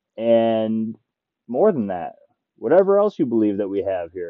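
A man's voice swings very widely in pitch as he talks at a moderate pace. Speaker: spiritual podcast host. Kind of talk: casual solo monologue on a walk. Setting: outdoors, walking. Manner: halting, sometimes stuttering.

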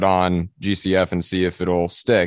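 A man speaks with a very deep, low pitch. The sound is dry and close with no echo, over a quiet background. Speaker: pastor. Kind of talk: casual chat.

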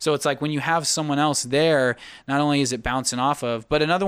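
Using an ordinary speaking voice, a man talks with an American accent. His pitch is fairly high and his pace fairly quick. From Sacramento, California. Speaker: singer-songwriter and producer. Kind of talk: casual chat. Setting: podcast live stream.

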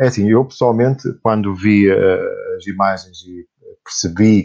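A man is speaking. The background is quiet. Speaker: podcast host and LEGO blogger. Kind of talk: casual chat.

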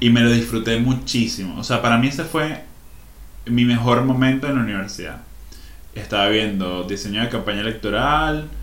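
Audible room echo surrounds a man's voice. He has a Venezuelan accent and ordinary pitch variation. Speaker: podcast co-host. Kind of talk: casual chat. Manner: animated.

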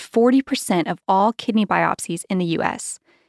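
An unremarkable speaking voice with ordinary pitch variation, dry and close with no echo, on a very clean recording with a silent background. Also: woman. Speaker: podcast host, communications director. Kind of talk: casual interview.

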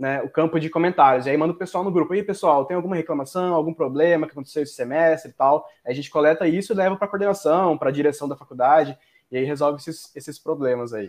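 Talking very fast with hardly any pauses, a man uses a fairly high pitch and ordinary pitch variation. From Mato Grosso, Brazil. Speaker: business student. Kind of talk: casual chat.

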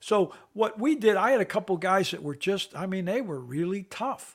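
At a moderate pace, a man talks with lively intonation and a high pitch for a man. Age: 70s. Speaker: retired NFL special teams coach. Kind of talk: interview. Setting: remote call.

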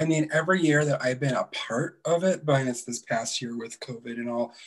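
The pace is fairly quick, with ordinary pitch variation. The voice sounds somewhat breathy. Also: man. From Alaska. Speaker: drag queen. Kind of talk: casual interview. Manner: hesitant, many fillers.

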